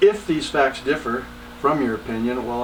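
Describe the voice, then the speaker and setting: Over noticeable background noise, a man with an American accent talks fairly quickly in a medium-pitched voice. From Texas. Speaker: entrepreneur. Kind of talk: podcast monologue.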